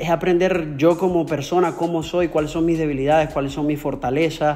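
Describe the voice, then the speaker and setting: A man talks at a moderate pace. His pitch is high, and his intonation is fairly even. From Venezuela. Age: 30s. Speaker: trader; interviewee. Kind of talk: interview. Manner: halting, with many repetitions. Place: home room. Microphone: earbuds.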